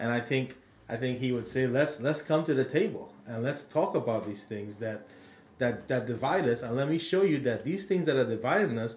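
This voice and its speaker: With lively intonation, a somewhat breathy voice moves along at a moderate pace. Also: man, medium pitch for a man. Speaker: podcast co-host. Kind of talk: casual podcast Bible discussion.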